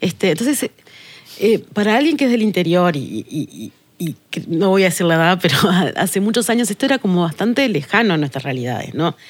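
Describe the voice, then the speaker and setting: A woman's normal speaking voice, fairly low in pitch, with lively intonation and a fairly quick pace. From Uruguay, Tacuarembó. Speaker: sustainability manager. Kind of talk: podcast interview.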